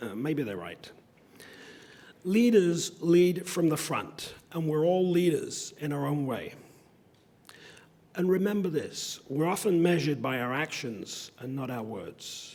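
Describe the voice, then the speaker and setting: Speaking at a fairly slow pace, a man uses lively intonation and a fairly high pitch, leaving long, frequent pauses. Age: 60s. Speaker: convocation speaker. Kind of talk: commencement speech.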